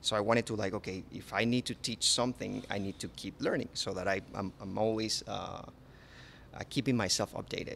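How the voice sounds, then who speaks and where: This man talks at a fairly low pitch with ordinary pitch variation and some vocal fry. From Panama. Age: 30s. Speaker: chef. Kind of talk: interview. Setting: on location at a resort restaurant. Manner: halting, with many repetitions.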